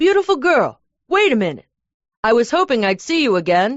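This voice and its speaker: The speaker uses a put-on character voice at a fairly high pitch. Very wide pitch swings come at a fairly quick pace. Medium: read story. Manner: cheerful, flirtatious.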